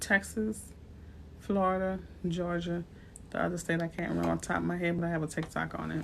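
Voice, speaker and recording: A speaker with a New Orleans accent talks at a fairly quick pace, with long, frequent pauses. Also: woman. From US South, New Orleans. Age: 40s. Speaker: realtor. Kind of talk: livestream talk. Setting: livestream. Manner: animated.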